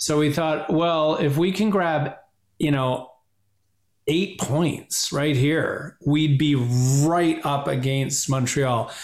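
Very slowly, a man with a Canadian accent speaks at a fairly high pitch with ordinary pitch variation. His loudness stays very even, and room echo can be heard. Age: 50s. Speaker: podcast guest, hockey fan. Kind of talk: casual chat. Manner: animated.

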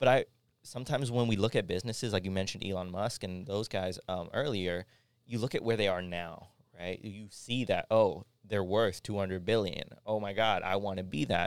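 A man with a Canadian accent talks at a fairly quick pace in a fairly low voice. His pitch varies in an ordinary way, on a very clean recording with a silent background. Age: 20s. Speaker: podcast host. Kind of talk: casual chat. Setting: studio. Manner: animated.

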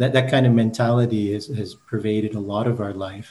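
Talking at a fairly quick pace with a Canadian accent, a man uses a flat monotone at a fairly low pitch, his voice somewhat breathy. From Canada, Manitoba (Brandon). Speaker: architect and university lecturer. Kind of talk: interview. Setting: remote call. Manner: halting, repeats words.

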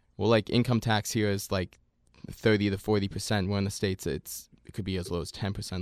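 With a plain, everyday voice, a man speaks at a fairly quick pace and fairly low pitch in a very clean recording with a silent background and a dry, close sound with no echo. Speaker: student radio host. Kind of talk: casual banter.

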